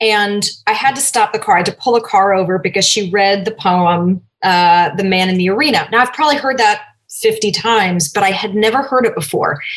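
With an American accent, a woman talks at a fairly quick pace in a plain, everyday voice of medium pitch and ordinary pitch variation. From US Northeast, Cambridge, Massachusetts. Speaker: diversity and inclusion advisor. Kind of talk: interview.

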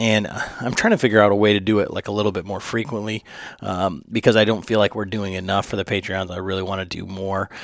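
Very fast and monotone, with flat intonation, a man talks at a fairly low pitch. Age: 40s. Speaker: podcast host. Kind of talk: ad read; casual chat. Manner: many fillers.

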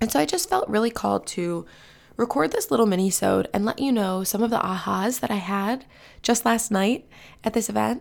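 Putting on a raspy character voice, a woman speaks fairly quickly at a medium pitch.

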